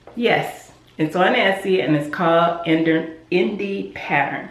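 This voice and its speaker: Amid audible room echo and noticeable background noise, a woman with a fairly low pitch speaks in an animated tone with ordinary pitch variation. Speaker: sewing YouTuber. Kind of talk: casual tutorial talk.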